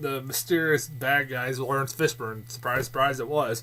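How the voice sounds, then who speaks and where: Here a man speaks loud, with a bright, sharp tone. His pitch is medium and his pace moderate. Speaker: movie reviewer. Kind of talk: casual vlog review. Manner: halting, many fillers and repeats.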